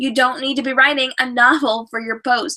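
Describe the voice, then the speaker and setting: A woman speaks at a fairly quick pace in a high pitch. Her tone is animated. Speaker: author and writing business coach. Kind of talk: live video show presentation. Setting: live stream with chat. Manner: fast.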